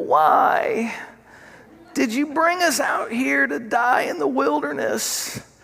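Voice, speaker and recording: A put-on character voice with a fairly high pitch moves at a very slow pace. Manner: whiny, complaining.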